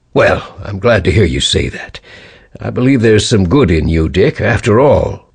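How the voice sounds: Here is a natural reading voice with lively intonation.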